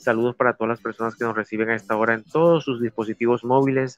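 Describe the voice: A man talks fast at a medium pitch, his intonation fairly even. The sound is dry and close, with no echo.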